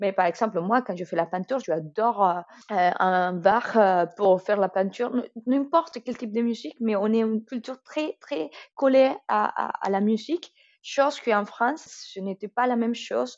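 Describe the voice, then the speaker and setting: This speaker has a strong Colombian accent and lively intonation. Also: woman, fairly high pitch for a woman, moderate pace. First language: Spanish (speaking French). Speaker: student. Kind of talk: interview. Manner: halting.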